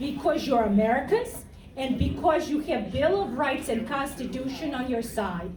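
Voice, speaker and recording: A woman speaks at a high pitch with lively intonation. Noticeable background noise and audible room echo fill the recording. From Serbia. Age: 50s. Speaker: political candidate. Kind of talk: campaign speech. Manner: blunt.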